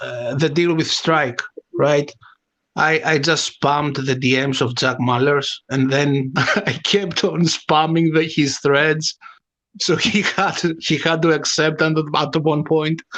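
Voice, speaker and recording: With a non-native accent, a man speaks at a very slow pace and fairly high pitch, his loudness very even and his intonation fairly even. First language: not English. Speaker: bitcoin meme maker. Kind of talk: casual chat. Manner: halting, many fillers.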